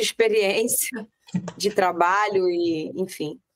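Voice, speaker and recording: Her pitch varies in an ordinary way. The recording is dry and close, without any echo. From Rio de Janeiro, Brazil. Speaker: real estate mentor. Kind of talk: interview podcast chat.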